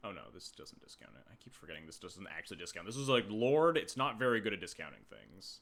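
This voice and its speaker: A soft-spoken man at a fairly quick pace. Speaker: game streamer. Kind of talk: live gameplay commentary. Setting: live stream. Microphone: quiet volume on YouTube upload.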